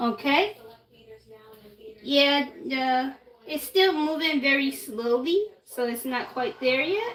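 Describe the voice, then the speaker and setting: The speech goes very slowly, broken by long, frequent pauses, yet the intonation stays lively. Noticeable background noise runs underneath. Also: woman, high pitch for a woman. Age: 20s. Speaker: baking livestreamer. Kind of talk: cooking tutorial livestream. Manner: halting.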